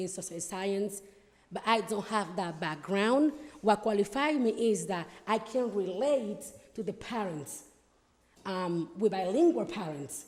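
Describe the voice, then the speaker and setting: With a Spanish accent, a woman of medium pitch speaks at a fairly slow pace with lively intonation. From Dominican Republic. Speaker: school board candidate. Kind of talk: campaign speech at town hall. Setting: town hall with audience. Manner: hesitant, many fillers.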